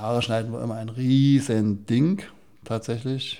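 This is a man's voice at medium pitch. His intonation is fairly even. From Saxony, Chemnitz. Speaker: doctor. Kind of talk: interview testimony.

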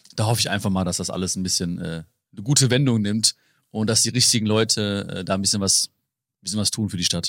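Speech comes at a very fast pace with fairly even intonation. The recording is very clean, with a silent background. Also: man, fairly low pitch for a man. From Germany, Hagen (Ruhr area). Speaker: author and motivational speaker. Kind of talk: interview conversation.

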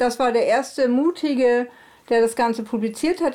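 At a moderate pace, a woman speaks with a dark, mellow tone and a fairly high pitch.

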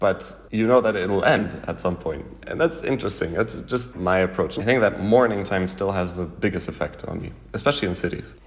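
Noticeable background noise fills the clip. The speaker talks at a moderate pace with lively intonation. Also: man, fairly low pitch for a man. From Canada. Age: 20s. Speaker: concert pianist. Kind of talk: interview.

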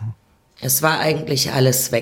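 The woman's intonation stays fairly even. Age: 60s. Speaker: abuse survivor. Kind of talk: testimony. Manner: halting.

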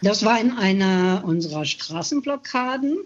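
Somewhat breathy, a woman talks at a very slow pace. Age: 70s. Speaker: climate activist. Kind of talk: testimony.

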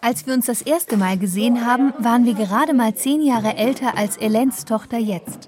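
A plain, everyday voice at a moderate pace, with ordinary pitch variation and very even loudness. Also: woman, fairly high pitch for a woman. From southwest Germany, Schwäbisch Hall. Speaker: radio reporter. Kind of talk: scripted narration.

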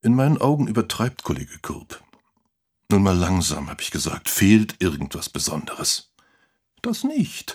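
In a put-on character voice, a man speaks low with very wide pitch swings, a slightly mellow tone and a slightly husky edge, on a very clean recording with a silent background. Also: fairly slow pace.

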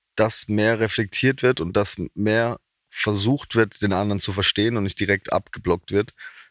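A man in a Baden accent speaks at a moderate pace, fairly low in pitch with fairly even intonation, in a very clean, dry, close recording with no echo and a silent background. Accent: dialect speaker, Baden. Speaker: comedian and musician. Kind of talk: casual interview.

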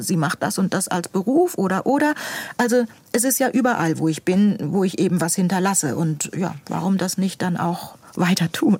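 A woman's somewhat breathy voice at a fairly slow pace, with very wide pitch swings. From northern Germany (Buxtehude near Hamburg). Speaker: school administrator and author. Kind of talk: interview.

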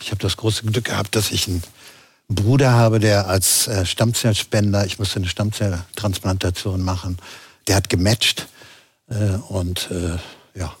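Moderate pace with long, frequent pauses from a man with a fairly low, somewhat breathy voice and fairly even intonation. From Berlin, Germany. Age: 60s.

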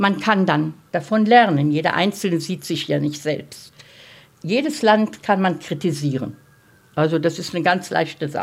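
A woman speaks very slowly, her pitch leaping very widely up and down. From Germany, Berlin. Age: 80s+. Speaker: Holocaust survivor. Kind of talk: group discussion.

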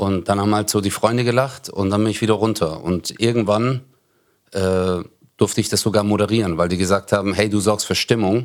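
A man with an unremarkable speaking voice talks at a fairly quick pace in a fairly low pitch. His intonation is fairly even, and the recording is very clean, with a silent background. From Stuttgart, Germany. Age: 40s. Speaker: comedian. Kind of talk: casual chat.

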